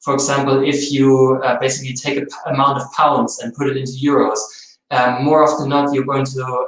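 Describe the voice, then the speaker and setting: With a German accent, a man speaks at a fairly high pitch amid audible room echo. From Germany. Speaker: translation and localization specialist. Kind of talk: webinar presentation. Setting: webinar.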